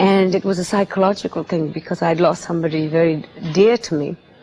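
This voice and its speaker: Using a normal speaking voice, a woman moves at a fairly quick pace with ordinary pitch variation. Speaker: singer. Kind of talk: interview answer.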